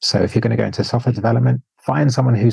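A man's dark, mellow voice with vocal fry, in a dry, close sound with no echo. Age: 40s. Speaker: cosmetic physician and software entrepreneur. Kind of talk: casual interview.

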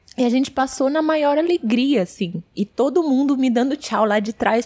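A woman speaks at a moderate pace in an animated tone, her pitch swinging very widely. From Latin America (Bolivia, Chile), born in Brazil. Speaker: travel expert, ancestry guide. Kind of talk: podcast interview.

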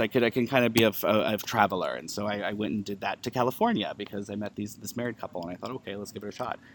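A man with an unremarkable speaking voice talks at medium pitch with fairly even intonation. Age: 30s. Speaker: author and pagan event coordinator. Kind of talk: casual interview. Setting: at a live event.

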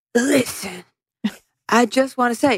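A female-sounding voice performs a put-on character with an American accent. The voice is gravelly and high. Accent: exaggerated American. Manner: brooding, serious.

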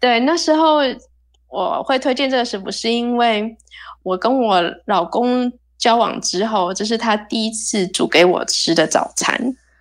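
A fairly high-pitched woman with a plain, everyday voice at a fairly slow pace, in a very clean recording with a silent background. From Taiwan. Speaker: percussionist. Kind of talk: casual chat.

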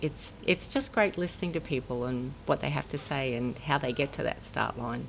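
Woman with an Australian accent at a moderate pace, with hardly any pauses. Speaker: former pro triathlete, soft tissue therapist. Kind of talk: interview.

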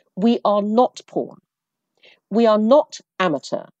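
A British accent in a dry, close recording with no echo. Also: woman. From Brunei, half English half Chinese parents. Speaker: entrepreneur, former advertising executive. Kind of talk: interview.

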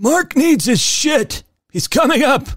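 Put-on character voice from a man, pitched extremely high and delivered at a fairly slow pace

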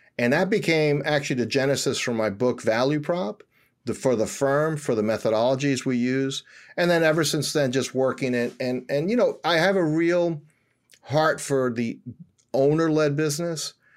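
A man with an American accent has a plain, everyday voice, fairly high in pitch with ordinary pitch variation and very even loudness. He talks at a moderate pace on a very clean recording with a silent background. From New York City, Washington Heights. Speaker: company founder and CEO. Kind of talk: interview.

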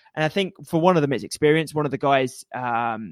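A man talks fairly quickly with an East Anglian accent. His pitch is fairly high, and the sound is dry and close with no echo. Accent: English (East Anglia). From England. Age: 30s. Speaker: obstacle racing and triathlon coach. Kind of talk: casual interview. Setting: remote call over internet.

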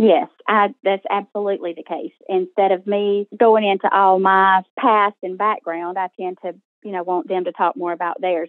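This woman has a plain, everyday voice at a medium pitch. She speaks at a moderate pace. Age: 40s. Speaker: coaching client. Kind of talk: coaching call. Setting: recorded call.

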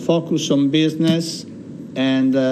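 A man with an Italian accent, very slow delivery and fairly even intonation, in a room with audible echo. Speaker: chamber of commerce chairman. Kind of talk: interview. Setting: studio.

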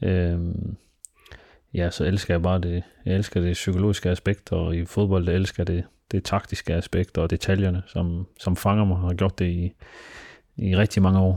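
On a very clean recording with a silent background and a dry, close sound with no echo, a man speaks at a fairly slow pace in a very deep, low pitch, with a dark, mellow tone, monotone, flat intonation and very even loudness. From Denmark, Aarhus (Frydenlund). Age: 20s. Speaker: football club director. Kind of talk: personal interview. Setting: his apartment.

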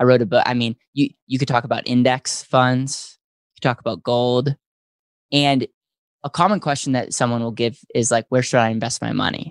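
A man with an American accent talks at a moderate pace and medium pitch in an ordinary speaking voice, with ordinary pitch variation, a quiet background, and a dry, close sound with no echo. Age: 20s. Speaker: financial services entrepreneur. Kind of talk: interview.

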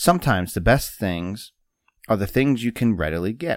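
Recorded dry and close with no echo over a silent background in a very clean recording, a man has a normal speaking voice at a fairly low pitch, a moderate pace, and ordinary pitch variation. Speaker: podcast host. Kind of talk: casual podcast chat, whiskey tasting.

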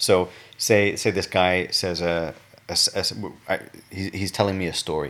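A man with a very deep, low pitch and monotone, flat intonation, taking long, frequent pauses. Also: moderate pace. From northern England. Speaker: linguistics doctoral researcher. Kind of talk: casual conversational interview. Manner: halting, with frequent repetitions and fillers.

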